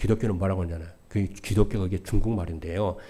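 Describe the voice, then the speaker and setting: This man talks at a very fast pace in a very deep, low pitch, his somewhat breathy voice carrying a dark, mellow tone on a very clean recording with a silent background. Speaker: pastor. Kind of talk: sermon. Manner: stutters, by his own account.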